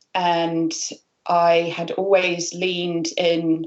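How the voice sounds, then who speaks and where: A woman with a British accent speaks in a fairly low pitch. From United Kingdom. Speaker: freelance marketer. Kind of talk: interview. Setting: video call.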